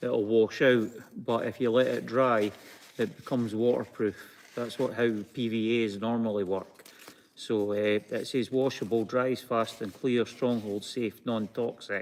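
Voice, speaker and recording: With a Scottish accent, a man talks fairly slowly at a medium pitch. His intonation is monotone and flat. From Scotland. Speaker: craft video co-host. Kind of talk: live-stream craft tutorial. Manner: halting, many fillers.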